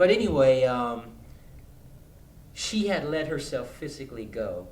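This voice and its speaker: A man speaks at a fairly slow pace. Audible room echo can be heard. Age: 50s. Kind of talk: casual chat.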